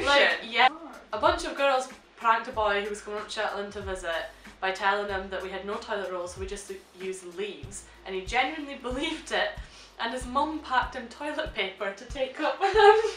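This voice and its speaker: The speech moves at a fairly quick pace. Audible room echo and light background noise sit behind it. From Shetland, Scotland. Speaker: vlogger. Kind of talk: casual reaction, reading questions aloud. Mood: amused, joking. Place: home room. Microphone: camera far.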